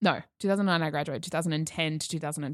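Recorded very cleanly against a silent background, a woman speaks with an Australian accent and fairly even intonation. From Queensland, Australia (Toowoomba). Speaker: podcast guest. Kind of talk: casual chat. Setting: studio.

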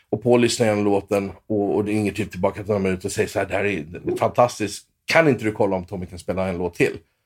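On a very clean recording with a silent background, a man with a fairly low pitch talks at a very fast pace with hardly any pauses and fairly even intonation. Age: 40s. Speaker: session guitarist. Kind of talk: casual interview.

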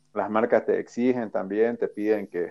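A man is speaking. His pace is fairly slow. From Bolivia. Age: 30s. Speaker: skateboarder. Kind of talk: interview.

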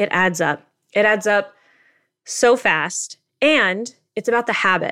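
A woman speaks at a fairly slow pace with long, frequent pauses, her bright, sharp tone sitting at a medium pitch with ordinary pitch variation, in a very clean recording with a silent background. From Asia. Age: 30s. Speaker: personal finance author. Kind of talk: interview.

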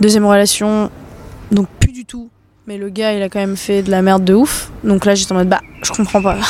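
Over noticeable background noise, a woman at a medium pitch talks fairly quickly in a flat monotone, with big swings in loudness and long, frequent pauses. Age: 20s. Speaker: dancer. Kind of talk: casual chat. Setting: outdoors.

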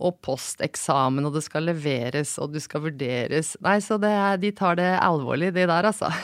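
A woman's unremarkable speaking voice, fairly low-pitched, with lively intonation at a moderate pace, dry and close with no echo, on a very clean recording with a silent background. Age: 40s. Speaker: senior physician. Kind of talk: casual chat. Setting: studio.

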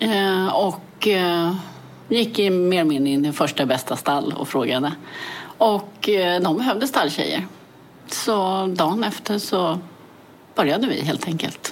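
Over audible room echo, a woman with a medium pitch speaks at a fairly slow pace with lively intonation. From Sweden, Täby (Stockholm area). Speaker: motorcycle rally racer. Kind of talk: interview.

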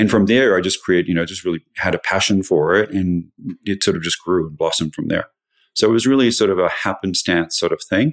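A man with an Australian accent at a fairly quick pace, dry and close with no echo, over a quiet background. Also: fairly low pitch for a man, ordinary pitch variation. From Australia (Sydney). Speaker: lighting designer. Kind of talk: casual interview.

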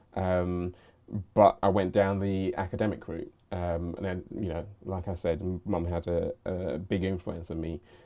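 With a London accent, a man speaks in a very deep, low pitch at a fairly slow pace. His intonation is monotone and flat, and the recording is very clean with a silent background. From southeast London. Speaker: creative leader and media entrepreneur. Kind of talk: casual interview chat.

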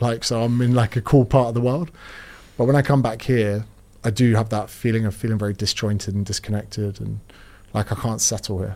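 Speaking with a British accent, a man talks fairly quickly with fairly even intonation. The recording is very clean, with a silent background. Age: 30s. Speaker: fitness author and personal trainer. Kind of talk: casual interview chat.

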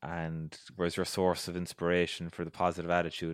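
A man with a Cork accent, a very deep, low pitch and monotone, flat intonation at a fairly quick pace, on a very clean recording with a silent background and a dry, close sound with no echo. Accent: Irish (Cork). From Ireland, County Cork. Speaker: podcast host. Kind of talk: scripted narration; casual interview chat.

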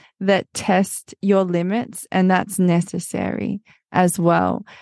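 Woman with an Australian accent at a very slow pace, dry and close with no echo, against a quiet background. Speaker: podcaster. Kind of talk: interview testimony.

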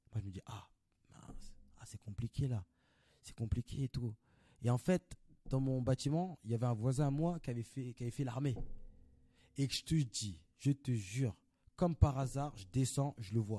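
A man speaks at a medium pitch with ordinary variation, his tone dark, mellow and somewhat breathy. His pace is fairly slow, with long, frequent pauses, big swings in loudness and a dry, close sound with no echo. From Paris, Belleville. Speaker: actor. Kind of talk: casual chat.

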